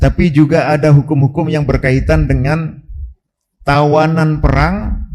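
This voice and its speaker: Fairly slow delivery in a male voice of fairly high pitch. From Java, Indonesia. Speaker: Islamic preacher. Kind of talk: religious lecture. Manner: hesitant with frequent fillers.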